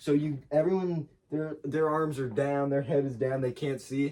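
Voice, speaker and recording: The man's voice sits at a fairly high pitch. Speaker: podcast host. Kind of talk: casual chat. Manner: fast.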